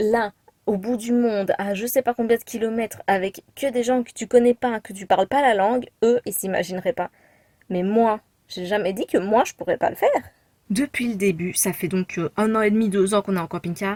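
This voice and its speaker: With a Belgian accent, a woman speaks in a dark, mellow tone with big swings in loudness, the sound dry and close with no echo. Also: fairly high pitch for a woman, ordinary pitch variation, moderate pace. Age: 20s. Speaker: vlogger. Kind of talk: casual chat. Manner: hesitant, many fillers.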